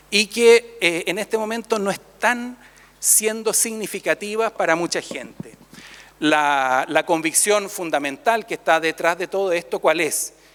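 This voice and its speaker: The speech comes at a fairly slow pace with ordinary rises and falls in pitch. The sound is dry and close, with no echo. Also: man, high pitch for a man. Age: 60s. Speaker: priest and theologian. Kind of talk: conference talk. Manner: conversational, with fillers.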